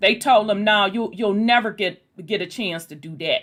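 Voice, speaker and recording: This woman's fairly high voice carries an animated tone. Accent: Southern US. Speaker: online discussion group host. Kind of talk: casual chat.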